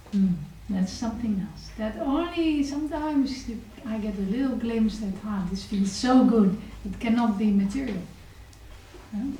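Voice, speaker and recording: Speaking at a moderate pace with a fairly high pitch and ordinary pitch variation, a woman's loudness swings widely, broken by long, frequent pauses, amid noticeable background noise and audible room echo. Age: 40s. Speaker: spiritual teacher. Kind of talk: lecture. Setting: temple with audience.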